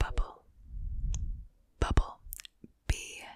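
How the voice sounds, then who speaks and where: A woman whispers. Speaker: ASMR content creator. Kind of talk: ASMR whisper for sleep. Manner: repeated trigger words, slow. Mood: playful, smiling. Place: home room. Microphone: studio mic.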